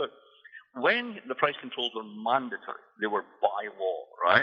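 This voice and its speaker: This is a man speaking. He has a Scottish accent. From Scotland. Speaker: economist and author. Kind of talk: interview. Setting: radio show.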